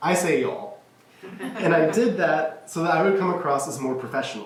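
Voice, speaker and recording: Heard with audible room echo and noticeable background noise, a man talks at a moderate pace with lively intonation. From Kentucky, Louisville. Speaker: college student. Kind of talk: speech contest address. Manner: formal.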